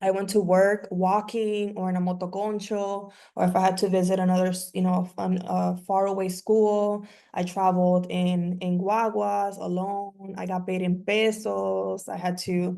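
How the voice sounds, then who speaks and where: The speaker talks in a Spanish accent with a dark, mellow tone and monotone, flat intonation. The pace is moderate, with hardly any pauses. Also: woman, medium pitch for a woman. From New York and Miami, Dominican family. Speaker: community organizer and workshop facilitator. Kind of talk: online workshop talk, personal story.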